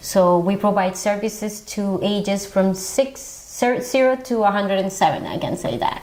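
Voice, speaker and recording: A woman with a Colombian accent talks at medium pitch and moderate pace with ordinary pitch variation over noticeable background noise. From Colombia, Bogota. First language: Spanish. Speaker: social worker. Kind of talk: TV interview.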